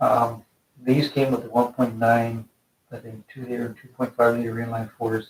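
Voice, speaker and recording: The intonation stays monotone and flat as a man talks. His loudness swings widely. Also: medium pitch for a man. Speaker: mechanic restoring trucks. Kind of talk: casual project update. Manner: fast.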